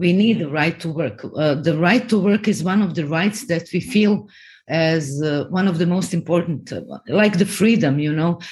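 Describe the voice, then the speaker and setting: This woman has a Croatian accent and a fairly low pitch. Her voice is somewhat breathy. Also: lively intonation, moderate pace, quiet background. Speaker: TV and film producer. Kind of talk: interview.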